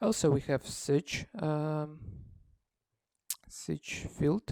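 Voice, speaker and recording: The pace is very slow. The recording is very clean, with a silent background. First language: not English. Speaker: software developer demonstrating own app. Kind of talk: tutorial. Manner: halting, many fillers.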